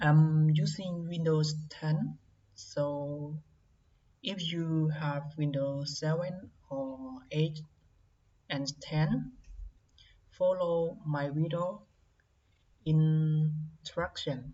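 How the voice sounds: Very slow pace with long, frequent pauses, a dark, mellow tone, fairly even intonation and audible room echo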